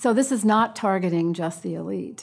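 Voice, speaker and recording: At a moderate pace, a woman speaks in an unremarkable speaking voice at a medium pitch. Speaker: engineering researcher. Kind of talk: press conference remarks. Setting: press conference.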